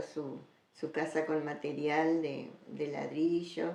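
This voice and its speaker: A woman in an Argentine Litoral accent speaks with a very deep, low pitch. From Argentina, Entre Ríos (Federación). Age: 70s. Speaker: interviewee recounting her life. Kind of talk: oral history interview.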